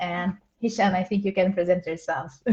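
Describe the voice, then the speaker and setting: In a Portuguese accent, a somewhat breathy woman talks at a moderate pace and medium pitch with fairly even intonation. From Brazil. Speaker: program coordinator. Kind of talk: online Q&A panel.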